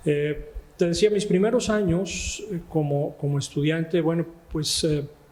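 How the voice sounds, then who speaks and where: Over noticeable background noise, a man talks at a fairly slow pace in a high pitch, with ordinary pitch variation. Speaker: notary and law professor. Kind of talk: interview. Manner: halting.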